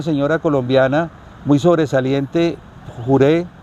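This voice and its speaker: Against noticeable background noise, a man with a fairly high pitch speaks at a moderate pace with fairly even intonation. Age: 70s. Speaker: economist and amateur football player. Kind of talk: interview answer.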